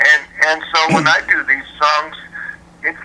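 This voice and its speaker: A man with a fairly high pitch talks at a fairly slow pace amid noticeable background noise. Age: 60s. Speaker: tribute singer. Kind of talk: interview. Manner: halting, repeats words.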